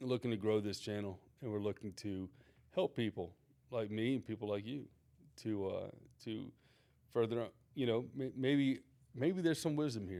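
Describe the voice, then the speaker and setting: Long, frequent pauses break up a man's moderate-paced speech, which has a dark, mellow tone, medium pitch and ordinary pitch variation. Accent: American. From US Gulf Coast. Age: 40s. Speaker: lifestyle vlogger. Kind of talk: channel introduction monologue. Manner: casual, halting with fillers.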